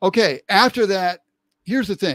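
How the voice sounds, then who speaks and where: A man speaks at a moderate pace with ordinary pitch variation in a very clean recording with a silent background and a dry, close sound with no echo. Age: 60s. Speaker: online show host. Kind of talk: live-stream political commentary. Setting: live stream. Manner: halting, with frequent repetitions.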